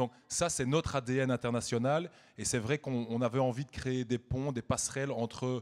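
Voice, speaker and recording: A man with a Belgian accent, medium pitch, fairly even intonation and a moderate pace. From Belgium. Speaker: media executive, award presenter. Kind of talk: gala award speech.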